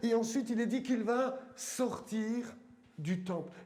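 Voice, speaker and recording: A man with a strong eastern French accent speaks at an extremely high pitch with fairly even intonation. Audible room echo and noticeable background noise fill the recording. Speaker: pastor. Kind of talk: sermon. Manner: halting, many fillers.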